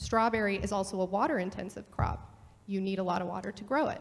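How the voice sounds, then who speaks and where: Here is a woman with an unremarkable speaking voice at medium pitch. Her pace is fairly quick and her intonation fairly even. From California, Ventura County; California. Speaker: farm labor contractor; panelist. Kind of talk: panel discussion. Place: hall.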